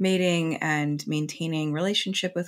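A woman with an American accent, a very deep, low pitch, fairly even intonation and a moderate pace, over a quiet background. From New York. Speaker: podcast co-host, astrologer; podcast co-host. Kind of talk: casual chat. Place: home room. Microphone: earbuds.

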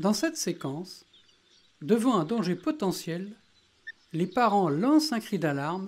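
A calm tone at a fairly slow pace. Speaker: nature video narrator. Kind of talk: nature documentary narration. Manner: calm, measured, explanatory.

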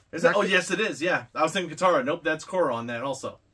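A man talks at a fairly quick pace in a bright, sharp tone, his pitch swinging very widely. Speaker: unboxing vlogger. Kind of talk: casual unboxing vlog chat. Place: home room. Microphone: camera far.

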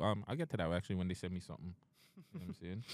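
A man against a quiet background, the sound dry with no echo. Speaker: podcast host. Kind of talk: casual podcast chat. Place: studio. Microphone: studio mic.

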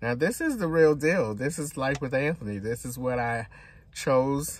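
This man talks at a moderate pace with ordinary pitch variation. The sound is dry, with no echo. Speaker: vlogger. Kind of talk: casual vlog chat. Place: car. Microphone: phone near.

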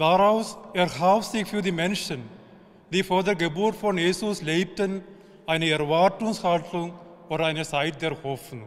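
Against a quiet background, a man with an Indian accent speaks at a fairly slow pace in a high voice with ordinary pitch variation. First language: an Indian language (speaking German). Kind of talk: short spiritual address. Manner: halting in places. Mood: calm, hopeful. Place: church.

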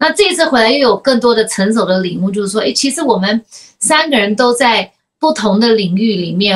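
A woman speaks with a fairly high pitch and lively intonation. She has an ordinary speaking voice. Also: quiet background. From United States. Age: 40s. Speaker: podcast host. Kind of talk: casual chat. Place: home room.

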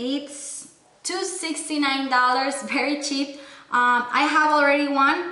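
A woman's high, raised, projected voice at a very slow pace, with audible room echo. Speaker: beauty and lifestyle vlogger; beauty vlogger. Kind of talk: product haul video with giveaway. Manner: animated, enthusiastic. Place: home room.

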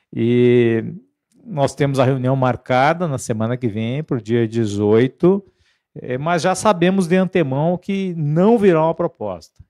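Against a quiet background, a man with a fairly high pitch and a dark, mellow tone speaks at a fairly slow pace with lively intonation. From Brazil. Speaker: union leader. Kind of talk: union rally address. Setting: live stream from union headquarters. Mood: earnest, mobilizing. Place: meeting room. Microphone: handheld.

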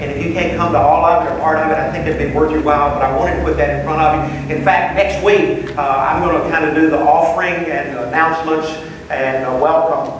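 Strong room echo and noticeable background noise surround a man who talks at a very fast pace with fairly even intonation. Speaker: class teacher. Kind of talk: announcement to a class. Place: hall.

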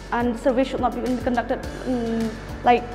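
Over clear music in the background, a woman speaks at a moderate pace in a high pitch. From Meghalaya, India. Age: young. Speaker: college student. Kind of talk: interview answer. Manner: passionate. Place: classroom.

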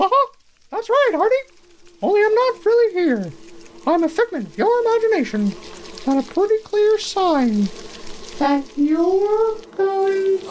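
A put-on character voice at an extremely high pitch, fairly slow in pace, with long, frequent pauses. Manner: giggly, chipper.

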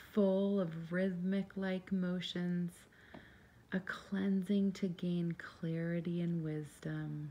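Very slowly and in a calm tone, a woman speaks with a fairly low pitch, a dark, mellow tone, a somewhat breathy quality and monotone, flat intonation. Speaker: meditation guide. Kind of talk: guided meditation. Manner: calm, slow.

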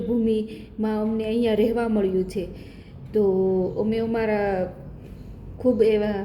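A woman's fairly high voice, flat and monotone in intonation, with audible room echo. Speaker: vlogger. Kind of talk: casual vlog monologue.

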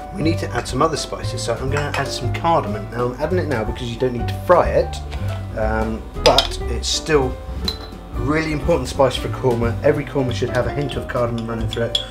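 A man talks at a very fast pace while clear music plays in the background. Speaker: cooking show host. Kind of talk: tutorial. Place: kitchen.

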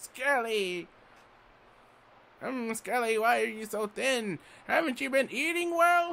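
Using a put-on character voice, a man speaks at an extremely high pitch and a fairly slow pace, with long, frequent pauses. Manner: fussing, caring.

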